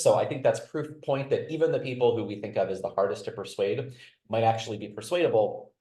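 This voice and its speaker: A man talks at a very fast pace. There is audible echo in the room. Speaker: political science researcher. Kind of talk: webinar panel presentation.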